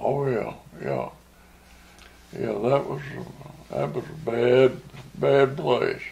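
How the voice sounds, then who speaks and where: A man with a Southern US accent at a very slow pace, amid noticeable background noise. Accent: Southern American. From Arkansas. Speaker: war veteran. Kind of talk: interview answer.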